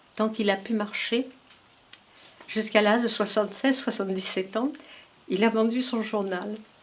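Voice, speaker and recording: Fairly high-pitched female speech amid noticeable background noise. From Paris region, France. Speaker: daughter of a resistance fighter. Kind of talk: testimony. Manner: halting.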